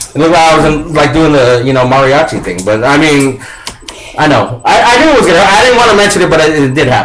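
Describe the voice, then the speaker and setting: An animated man with an American accent, fairly high in pitch, at a very fast pace, lively intonation and very even loudness, amid noticeable background noise and audible room echo. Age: 30s. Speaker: radio host. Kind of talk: casual chat.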